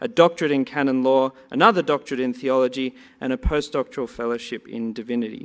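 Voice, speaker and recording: Against a quiet background, a man with an Australian accent speaks at a fairly quick pace. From Australia, Sydney. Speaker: conference panel moderator. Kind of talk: panel introductions. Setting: conference hall with audience.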